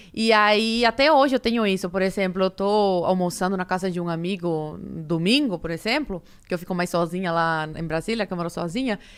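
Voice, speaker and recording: In a Cuban accent, a woman with a medium pitch speaks at a fairly quick pace with hardly any pauses and ordinary pitch variation, on a very clean recording with a silent background. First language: Spanish (speaking Portuguese). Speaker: podcast guest. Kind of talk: casual chat.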